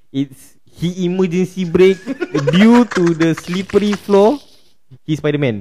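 This man talks at a very slow pace in a high pitch with ordinary pitch variation, over noticeable background noise. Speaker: podcast host. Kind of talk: casual chat. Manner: animated.

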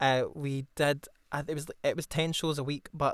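A man speaks in a Glasgow accent at a fairly high pitch. His intonation stays monotone and flat. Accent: Scottish (Glasgow). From Scotland, Glasgow area. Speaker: actor and drama student. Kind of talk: casual chat.

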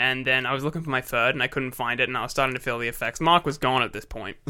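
A man with an Australian accent at medium pitch, bright and sharp in tone, very fast, with fairly even intonation on a very clean recording with a silent background. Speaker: podcast co-host. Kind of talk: casual chat.

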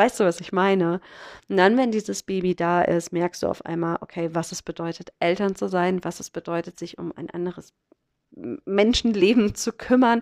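The background is quiet, with a dry, close sound and no echo. A woman speaks at medium pitch and a moderate pace. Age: 30s. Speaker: podcast host. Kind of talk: solo podcast monologue. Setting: holiday flat on a farm, sitting on a sofa. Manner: casual, chatty, many filler sounds.

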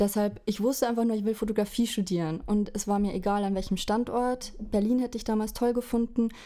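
The voice has a dark, mellow tone and fairly even intonation. It moves at a fairly quick pace with hardly any pauses. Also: woman, fairly high pitch for a woman. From Bavaria, village near Regensburg. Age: 20s. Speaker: fashion photographer. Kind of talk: casual interview chat. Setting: remote call.

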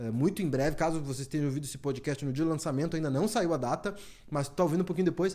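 A fairly high-pitched male voice of dark, mellow tone. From Brazil, Porto Alegre (Rio Grande do Sul). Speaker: barber and podcast host. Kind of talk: promotional announcement; casual chat.

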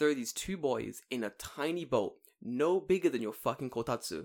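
A man speaks at a moderate pace in a fairly high pitch with vocal fry. His pitch swings very widely. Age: 20s. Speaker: podcast co-host. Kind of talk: casual chat.

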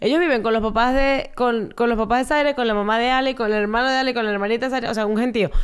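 Delivered at a very fast pace with very even loudness, this very clean recording has a silent background. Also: woman, fairly high pitch for a woman, fairly even intonation, hardly any pauses. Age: 20s. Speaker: podcast co-host. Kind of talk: casual chat.

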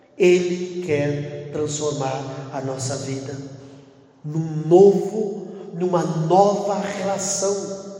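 With noticeable background noise around him, a man speaks at a very slow pace in a high pitch, his loudness swinging widely. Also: ordinary pitch variation. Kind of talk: prayer-group sermon with exhortation and prayer. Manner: fervent, earnest, pastoral; rhetorical, building by repetition.

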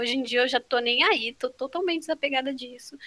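A woman speaks in a raised, projected voice at a fairly quick pace, her pitch high. Her tone is bright and sharp, with ordinary pitch variation. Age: 20s. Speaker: photographer. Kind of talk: casual chat.

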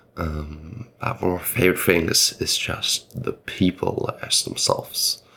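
A man speaks against noticeable background noise. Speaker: podcast host. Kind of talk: interview.

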